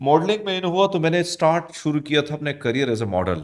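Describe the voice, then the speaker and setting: The man's pitch swings very widely. His pace stays moderate. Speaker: news anchor and radio host. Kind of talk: interview. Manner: casual.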